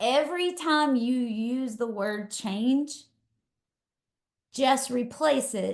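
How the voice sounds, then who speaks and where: A woman with a high pitch speaks at a very slow pace, with ordinary pitch variation and long, frequent pauses. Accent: Texas. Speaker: leadership coach. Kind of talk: webinar talk. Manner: casual, energetic.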